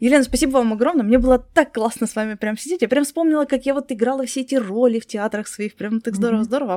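A woman talks at a very fast pace, her fairly high pitch showing ordinary variation. The sound is dry and close with no echo, on a very clean recording with a silent background. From Crimea. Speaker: podcast host. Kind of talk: interview.

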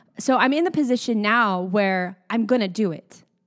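A woman's plain, everyday voice, fairly high in pitch with lively intonation, in a dry, close sound with no echo and a very clean recording over a silent background. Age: 30s. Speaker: podcast host and singer. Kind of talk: casual chat.

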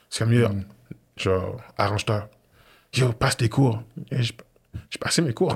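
A man with a medium pitch and a somewhat breathy voice speaks at a fairly slow pace with ordinary pitch variation, very even loudness, and long, frequent pauses. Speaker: former football player and sports entrepreneur. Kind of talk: casual interview chat.

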